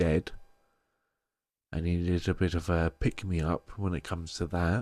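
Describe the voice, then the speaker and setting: A man with a British accent speaks fairly slowly in a very deep, low, dark and mellow voice, flat and monotone. The recording is very clean and silent behind him, dry and close with no echo. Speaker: crystal and tarot seller, video creator. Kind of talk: casual show-and-tell vlog. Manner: heavy breathing, pausing.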